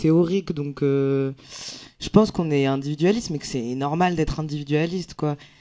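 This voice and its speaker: A man's voice comes through with noticeable noise behind it. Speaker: comedian. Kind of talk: round table discussion. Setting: stage with live audience. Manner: casual, hesitant.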